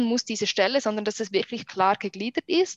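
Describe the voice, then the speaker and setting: A fairly high-pitched woman's voice at a fairly quick pace. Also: dry, close sound with no echo. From Switzerland. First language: Swiss German (speaking German). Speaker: wedding photographer. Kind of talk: casual interview. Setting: remote call.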